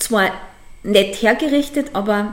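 Lively in intonation, a woman speaks at a fairly slow pace and fairly high pitch over noticeable background noise. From Upper Austria, Mühlviertel. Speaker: dog boarding kennel owner. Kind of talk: interview. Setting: at her dog kennel, dogs around.

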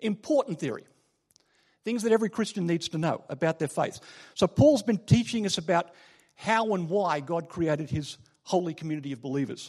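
A man with an Australian accent speaks at a fairly quick pace in a high voice. His intonation is lively, and the background is quiet. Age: 40s. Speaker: lay preacher. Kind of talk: sermon. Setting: church. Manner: halting, many filler words.

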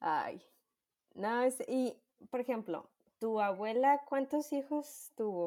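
With a Mexican accent, the speaker talks at a very slow pace with long, frequent pauses, lively intonation and a dark, mellow tone, on a very clean recording with a silent background. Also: woman, high pitch for a woman. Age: 20s. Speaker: podcast co-host. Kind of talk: casual chat.

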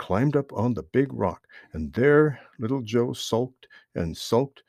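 Reading aloud in a natural voice, lively in intonation, over a quiet background

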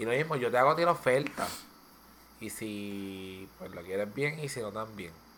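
A man with a medium-pitched, bright and sharp voice talks at a moderate pace, his loudness swinging widely. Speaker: podcast co-host. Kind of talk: casual chat.

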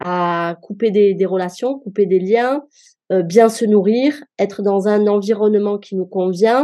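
A woman's medium-pitched voice with a dark, mellow tone, ordinary pitch variation and a very slow pace. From France, Marseille. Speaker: cook and home chef. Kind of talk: podcast interview.

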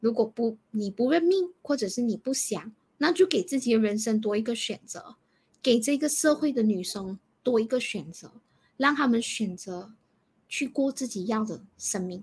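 A normal speaking voice from a woman, fairly high-pitched, with lively intonation at a moderate pace. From Malaysia. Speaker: counsellor. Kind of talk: advice discussion.

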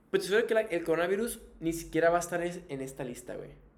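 Audible room echo surrounds a man speaking with a northern Mexican accent. His pitch is high. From Tijuana, northern Mexico. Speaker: podcast host. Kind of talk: casual chat; reading aloud. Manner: animated.

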